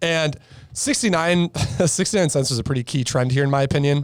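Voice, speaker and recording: Over a silent background in a very clean recording, a man with a plain, everyday voice speaks at a fairly high pitch and a moderate pace with lively intonation. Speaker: stock trader. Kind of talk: casual podcast chart breakdown.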